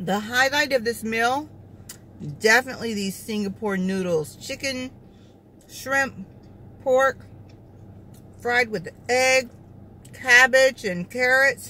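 Bright and sharp in tone, a woman's high-pitched voice moves at a very slow pace with long, frequent pauses and ordinary pitch variation, in a dry recording with no echo and light background noise. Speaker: food vlogger. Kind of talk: casual mukbang review chat. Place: car. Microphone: phone near.

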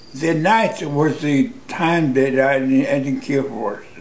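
A man's fairly high voice at a very slow pace. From United States. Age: 80s+. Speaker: war veteran. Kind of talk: interview answer. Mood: reflective, somber recollection. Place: home room.

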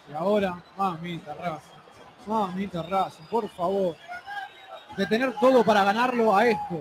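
An excited voice with ordinary pitch variation moves at a fairly slow pace with long, frequent pauses as crowd noise carries in the background. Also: man, high pitch for a man. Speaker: football commentator. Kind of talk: live football commentary with analysis. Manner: excited, emphatic.

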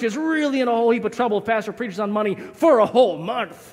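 A man with a high-pitched voice speaks with ordinary pitch variation over a quiet background. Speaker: pastor. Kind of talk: sermon. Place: church.

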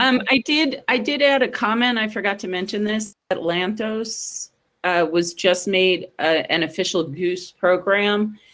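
A woman's normal speaking voice, medium in pitch, with lively intonation at a fairly slow pace and hardly any pauses. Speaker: science agency program manager. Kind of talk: conference presentation. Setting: video call.

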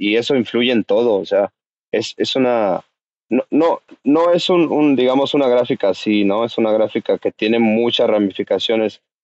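A man speaks at a medium pitch and moderate pace with ordinary pitch variation. The background is quiet and the sound is dry, with no echo. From Mexico City. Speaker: cannabis grower; podcast guest. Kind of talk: casual interview. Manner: halting. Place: home room.

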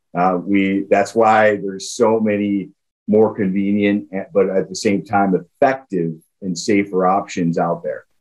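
This man has an unremarkable speaking voice, fairly low in pitch and fairly even in intonation. He speaks at a fairly slow pace against a quiet background. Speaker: guest. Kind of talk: interview answer. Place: office. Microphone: webcam.

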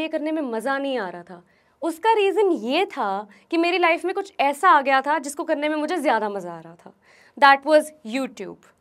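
The background is quiet as a woman speaks at a moderate pace. Her pitch is high and swings very widely. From New Delhi, India; India. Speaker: YouTuber. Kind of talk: motivational talk. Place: studio. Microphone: lapel.

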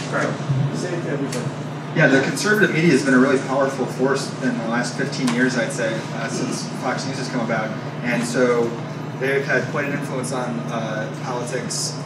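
The speaker moves at a moderate pace over loud background noise. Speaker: audience member, young activist. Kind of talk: audience question at public event. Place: cafe. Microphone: handheld.

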